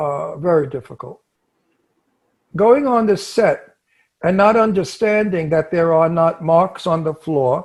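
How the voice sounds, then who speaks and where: Against a quiet background, a man with a Brooklyn accent speaks at a high pitch. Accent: Brooklyn, New York. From New York, Brooklyn. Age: 80s+. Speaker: actor. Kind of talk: casual chat.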